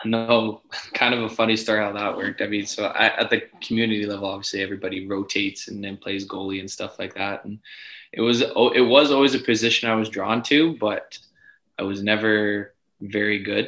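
An unremarkable speaking voice from a man with a fairly low pitch moves at a fairly quick pace with fairly even intonation in a very clean recording with a silent background. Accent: Canadian. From Edmonton, western Canada. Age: 20s. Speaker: professional soccer goalkeeper. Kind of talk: casual interview.

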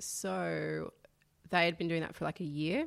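A woman with an Australian accent speaks at a fairly slow pace and a fairly low pitch in a very clean recording with a silent background. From Sydney, Northern Beaches (Manly). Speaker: documentary producer. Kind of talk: casual chat. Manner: soft-spoken.

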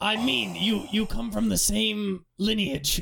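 A raspy, put-on character voice at a middle pitch. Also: fairly slow pace. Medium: actual play.

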